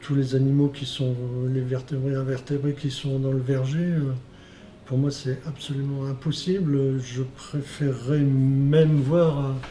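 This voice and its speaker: Audible room echo carries a man's fairly high voice as he speaks at a very slow pace with monotone, flat intonation. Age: 60s. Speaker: organic fruit farmer. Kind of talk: testimony. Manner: halting, many hesitations.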